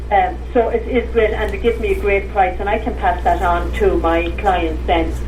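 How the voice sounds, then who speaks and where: A woman with an Irish accent at a moderate pace, hardly any pauses, noticeable background noise and audible room echo. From northwest Ireland. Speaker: tour operator. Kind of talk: interview.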